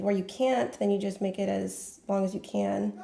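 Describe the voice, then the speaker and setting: A woman talks at a moderate pace, with noticeable background noise around her. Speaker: crafts tutorial maker. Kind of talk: tutorial. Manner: casual, hesitant with fillers.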